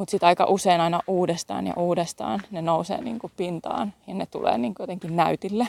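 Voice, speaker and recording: A woman's voice sits at a fairly low pitch and carries vocal fry. Her pitch variation is ordinary. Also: moderate pace, hardly any pauses, big swings in loudness. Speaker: podcast host and Human Design coach. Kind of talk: casual solo monologue. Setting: outdoors, walking. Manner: halting, with fillers and self-corrections.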